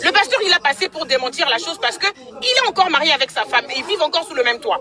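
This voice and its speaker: Over crowd noise in the background, a woman with an extremely high voice talks at a very fast pace, her raised, projected delivery full of very wide pitch swings. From DR Congo. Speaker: caller. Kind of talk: heated debate. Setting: in a car. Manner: loud; halting.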